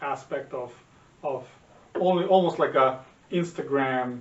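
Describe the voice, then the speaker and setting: A man speaks at a moderate pace with a Serbian accent. His intonation stays fairly even, and the room echo is audible. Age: 40s. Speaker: podcast co-host, father. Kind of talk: casual chat. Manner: halting, many repetitions and fillers.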